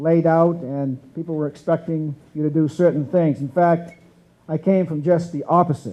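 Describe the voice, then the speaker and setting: A man with a fairly high pitch and a dark, mellow tone talks at a moderate pace with fairly even intonation. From central Maine, US. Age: 60s. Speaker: former politician and businessman. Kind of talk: breakfast keynote speech.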